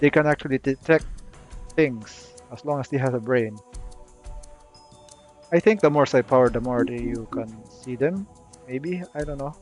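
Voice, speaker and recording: Over background music, a man talks at a moderate pace with ordinary pitch variation and long, frequent pauses. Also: medium pitch for a man. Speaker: video game guide creator. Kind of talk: casual game tutorial commentary. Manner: hesitant, many filler words.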